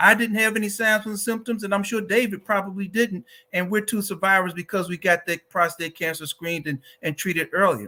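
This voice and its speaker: Raised and projected, a bright, sharp voice with an American accent moves at a fairly quick pace with fairly even intonation. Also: man, high pitch for a man. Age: 60s. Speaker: advocacy organization director, cancer survivor. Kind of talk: advocacy talk.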